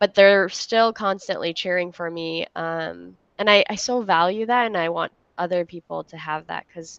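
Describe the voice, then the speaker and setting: A woman's fairly low-pitched voice at a moderate pace, fairly even in intonation, dry and close with no echo against a quiet background. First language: not English. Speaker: entrepreneur, co-working space founder. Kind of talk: interview. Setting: livestream.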